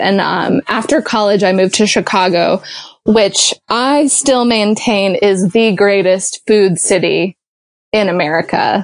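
Heard dry and close with no echo, a woman talks at medium pitch with ordinary pitch variation. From US South, small-town Georgia. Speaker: improv performer. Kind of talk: casual chat. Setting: internet call. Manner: animated.

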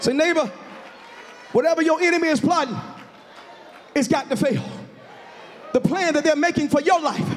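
An extremely high-pitched man speaks in an animated tone at a moderate pace, with ordinary pitch variation and very even loudness. He leaves long, frequent pauses over noticeable background noise. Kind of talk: sermon, preacher in full flow with call-and-response. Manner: animated, exhortative, loud, punctuating phrases with rhythmic 'huh' breaths; urging the congregation to shout and repeat lines aloud.

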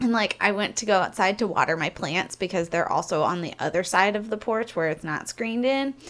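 A woman with an American accent, a normal speaking voice at medium pitch, ordinary pitch variation, and a fairly quick pace. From Missouri, US. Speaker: podcast co-host and burlesque performer. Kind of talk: casual chat.

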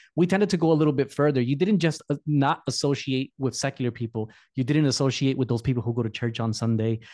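A man with a dark, mellow tone talks very fast with hardly any pauses and ordinary pitch variation. The sound is dry and close, with no echo. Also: medium pitch for a man, quiet background. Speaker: podcast host. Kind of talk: interview.

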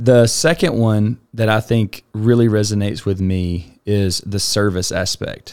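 This man has a Southern US accent and a fairly low pitch. He talks at a fairly slow pace with ordinary pitch variation. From Alabama. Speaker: nonprofit foundation director. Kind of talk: casual interview.

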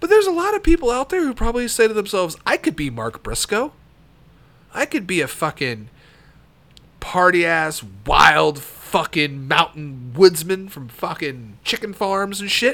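A man talks in a raised, projected voice with a bright, sharp tone and a high pitch. His pitch swings very widely, and his pace is moderate. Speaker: podcast host and wrestling fan. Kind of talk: wrestling commentary rant, opinionated talk. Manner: rambling, trailing off mid-thought with fillers.

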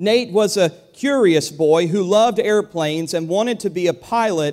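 A man talks at a moderate pace with a high pitch and ordinary pitch variation. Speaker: pastor. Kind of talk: sermon. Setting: church. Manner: conversational, with hesitations.

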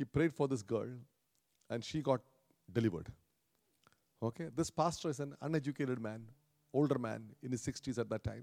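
This man speaks at a fairly quick pace but with long, frequent pauses, his medium-pitched voice dark and mellow in tone, showing vocal fry and ordinary pitch variation, in a dry, close sound with no echo. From India, Kerala. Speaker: pastor. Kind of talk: sermon. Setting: church.

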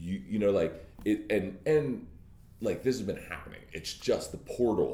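An animated man's voice at a fairly slow pace, with audible room echo. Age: 30s. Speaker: podcast host. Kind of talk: casual interview.

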